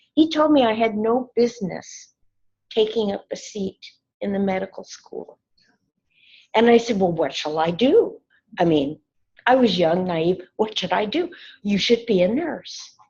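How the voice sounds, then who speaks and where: Very wide pitch swings with a West Coast US accent, a fairly slow pace, a somewhat breathy quality and long, frequent pauses. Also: woman, fairly high pitch for a woman. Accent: General American, West Coast. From Oregon, US Pacific Northwest. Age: 70s. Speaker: nursing professor. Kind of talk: invited lecture. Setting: campus lecture with audience.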